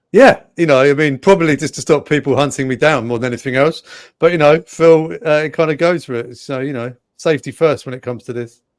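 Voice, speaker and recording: The speaker talks at a very fast pace in an English accent with ordinary pitch variation. Loudness swings widely. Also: man, fairly high pitch for a man. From England. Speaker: sports presenter, co-host. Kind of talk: casual sports talk show.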